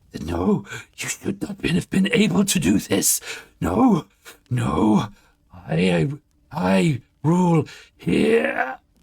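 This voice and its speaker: Using a put-on character voice, a man speaks at a very slow pace with long, frequent pauses. His raspy voice sits at a medium pitch and makes very wide pitch swings. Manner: panicked, twisting.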